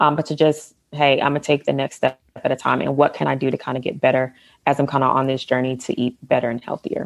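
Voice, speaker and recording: Speaking very fast with an American accent, a woman delivers her words in a monotone, flat intonation at a very deep, low pitch. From US South, Atlanta, Georgia. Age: 30s. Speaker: photographer and former bodybuilder. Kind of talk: casual interview.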